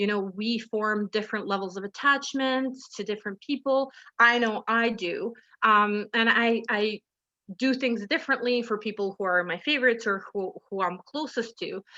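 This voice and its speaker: Loud and fairly high-pitched, a woman's bright, sharp voice moves at a moderate pace with ordinary pitch variation, recorded dry and close with no echo against a quiet background. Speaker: drop-in centre manager, webinar speaker. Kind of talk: webinar presentation. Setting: video call. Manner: animated.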